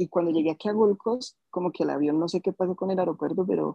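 Dry and close with no echo, a man's voice carries a dark, mellow tone and fairly even intonation. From Colombia, Bogotá. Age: 20s. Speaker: musician. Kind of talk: interview conversation.

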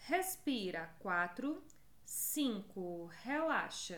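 Speaking at a very slow pace, the voice swings very widely in pitch, and room echo is audible. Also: woman. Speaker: podcast host, pelvic health educator. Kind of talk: guided exercise counting; casual educational talk with guided exercises. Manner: animated.

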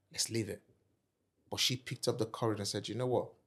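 At a fairly quick pace, a man with a Nigerian accent speaks in an animated tone at medium pitch, on a very clean recording with a silent background. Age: 40s. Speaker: entrepreneur and property investor. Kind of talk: interview.

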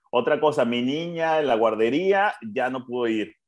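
Speaking with an unremarkable speaking voice, a man with a fairly high pitch uses lively intonation at a fairly slow pace. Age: 20s. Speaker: podcast co-host, café owner. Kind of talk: casual chat. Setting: at home.

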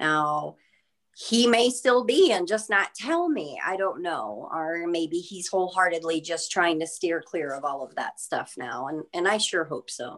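Against a quiet background, a woman with an ordinary speaking voice talks at a fairly slow pace with fairly low pitch. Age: 30s. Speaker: true crime pen pal, former security officer. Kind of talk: podcast interview.

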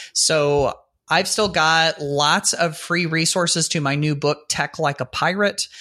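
With a bright, sharp tone and fairly high pitch, a man sounds animated and enthusiastic while keeping his loudness very even. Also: very clean recording, silent background. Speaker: podcast co-host. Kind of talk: casual chat. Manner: animated, enthusiastic.

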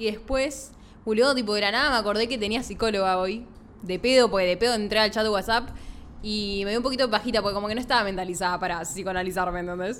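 A woman speaks at a medium pitch with ordinary pitch variation. She talks in a Rioplatense accent. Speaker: podcast co-host. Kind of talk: casual chat.

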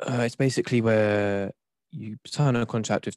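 A man with an English accent and fairly even intonation, on a very clean recording with a silent background and a dry, close sound with no echo. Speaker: twitch streamer. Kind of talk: casual chat.

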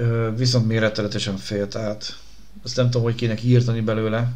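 Room echo is audible as a man talks at a moderate pace. His medium-pitched voice stays monotone and flat. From Budapest, Hungary. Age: 30s. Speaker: podcast host, former radio presenter. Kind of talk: casual chat.

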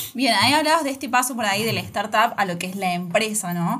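The speech moves at a fairly quick pace with lively intonation against noticeable background noise. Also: woman. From Argentina, Córdoba. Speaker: podcast host. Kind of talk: interview. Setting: studio.

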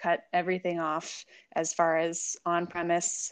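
Quiet background, with a woman speaking at a fairly low pitch. She has an American accent. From San Diego, California. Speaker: wine sales professional and sommelier. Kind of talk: casual interview.

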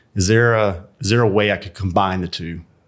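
A man at a fairly low pitch, an ordinary speaking voice, fairly even intonation and a moderate pace, on a very clean recording with a silent background. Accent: American. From Alabama, US South. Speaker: CEO and entrepreneur. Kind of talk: interview, telling his life story.

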